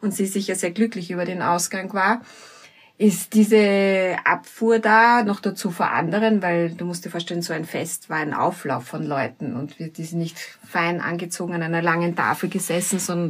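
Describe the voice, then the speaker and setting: A woman with a plain, everyday voice speaks at a moderate pace in a fairly low pitch with ordinary pitch variation. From Austria, Vienna. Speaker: teacher and mediator. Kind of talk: talk with guided breathing exercise.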